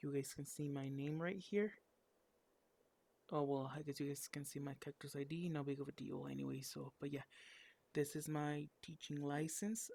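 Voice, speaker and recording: The speaker, in a Spanish accent, keeps a moderate pace with long, frequent pauses. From Mexico. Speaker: English teacher and online student. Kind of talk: casual vlog talk to camera. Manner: halting with many fillers.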